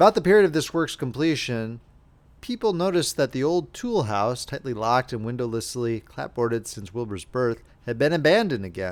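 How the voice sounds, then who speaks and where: Talking at a fairly quick pace, a man at medium pitch makes very wide pitch swings. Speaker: audiobook narrator. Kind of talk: audiobook reading of classic horror novella.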